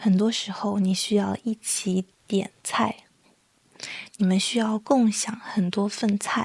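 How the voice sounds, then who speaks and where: A soft-spoken woman at a very slow pace, medium-pitched and somewhat breathy, in a dry, close sound with no echo. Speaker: Chinese language teacher and podcaster. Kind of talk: slow educational podcast monologue. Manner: soft-spoken, slow.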